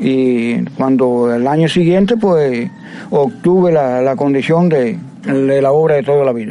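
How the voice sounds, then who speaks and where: There is noticeable background noise and audible room echo. A man with an eastern Cuban accent speaks fairly slowly at a fairly high pitch, with lively intonation and very even loudness. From Cuba, Las Tunas province. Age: 70s. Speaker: water utility worker. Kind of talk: interview.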